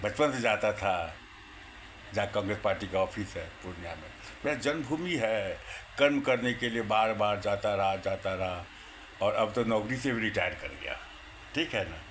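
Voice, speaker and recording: His voice sits at a medium pitch. This man's intonation rises and falls in an ordinary way. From India, Bihar, Purnia. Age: 60s. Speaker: retired Congress supporter. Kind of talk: political monologue. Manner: animated, repetitive.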